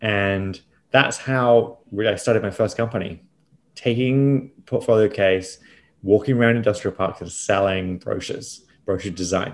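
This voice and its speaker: A man speaks at a moderate pace in a normal speaking voice, fairly low in pitch with ordinary pitch variation, on a very clean recording with a silent background. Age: 40s. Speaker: business host and entrepreneur. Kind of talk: casual interview chat.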